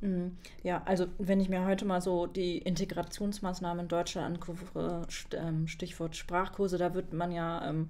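At a moderate pace, the speaker's dark, mellow voice stays monotone, with flat intonation. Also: woman, fairly low pitch for a woman, hardly any pauses. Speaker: podcast host. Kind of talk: podcast interview questions. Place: studio. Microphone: studio mic.

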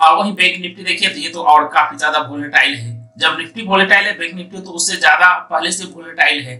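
A man's fairly high voice, bright and sharp in tone, with audible room echo, fairly even intonation and a fast pace

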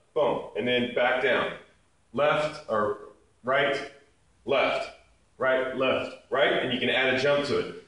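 The speech moves at a very slow pace, broken by long, frequent pauses. Strong echo fills the room. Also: man. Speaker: fitness instructor. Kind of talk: tutorial. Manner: brisk, upbeat, instructional; rhythmic, counting reps. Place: gym. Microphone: camera far.

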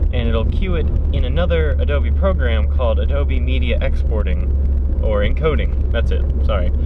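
A man talks at a moderate pace. Loud background noise runs under his voice. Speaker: driving vlogger. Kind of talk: casual vlog chat. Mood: relaxed, occasionally irritated. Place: car. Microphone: phone near.

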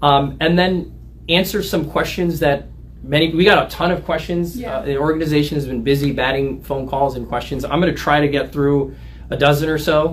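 At a fairly quick pace, a man speaks with fairly even intonation against light background noise. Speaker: lawyer giving a talk. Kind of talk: livestream discussion. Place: office. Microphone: camera far.

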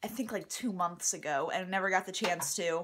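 Light background noise behind a woman's moderate pace. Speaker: vlogger. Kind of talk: casual vlog chat. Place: kitchen. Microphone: phone near.

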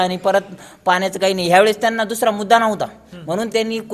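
The voice keeps a monotone, flat intonation over noticeable background noise. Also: man. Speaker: local villager. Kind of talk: street interview.

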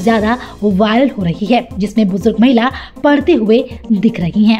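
Music plays in the background as a woman speaks. Her pitch is fairly high, with ordinary pitch variation. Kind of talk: TV news report narration.

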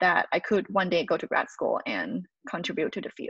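A woman with a Thai accent speaks at a medium pitch and a moderate pace, with ordinary pitch variation. The sound is dry with no echo, over a quiet background. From Thailand. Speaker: postdoctoral researcher. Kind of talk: lecture. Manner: halting, frequent fillers. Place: home room. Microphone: webcam.

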